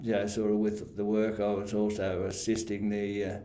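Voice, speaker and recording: A man with an Australian accent talks at a moderate pace in a fairly low, flat, monotone voice. Background noise is noticeable. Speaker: retired council staff member. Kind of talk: interview answer. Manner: hesitant, halting.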